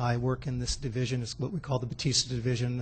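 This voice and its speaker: A somewhat breathy man with a medium pitch talks at a very fast pace. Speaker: fire division chief. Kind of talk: public presentation at council meeting. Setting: city council meeting. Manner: soft-spoken, quiet.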